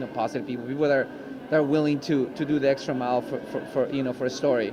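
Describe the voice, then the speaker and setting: A man talks very fast in a fairly high voice with fairly even intonation. Noticeable background noise and audible room echo are present. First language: Spanish. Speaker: actor. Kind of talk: interview. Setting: red carpet event. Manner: halting, many fillers and repeats.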